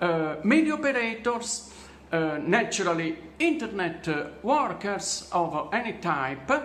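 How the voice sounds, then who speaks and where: A man speaks at a very slow pace, his high pitch making very wide swings. Noticeable background noise and audible room echo are present. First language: not English. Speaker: vlogger telling his own story. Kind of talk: personal testimony monologue. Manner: halting, many fillers.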